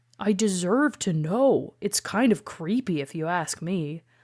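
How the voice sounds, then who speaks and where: On a very clean recording with a silent background, a woman does a put-on character voice at a medium pitch and a fairly slow pace. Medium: read story.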